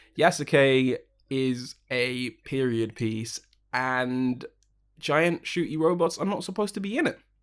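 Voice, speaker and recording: In a very clean recording with a silent background, a man with a British accent speaks fairly slowly. His pitch is medium with ordinary variation. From United Kingdom. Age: 20s. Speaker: sound engineer and podcast host. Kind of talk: casual chat.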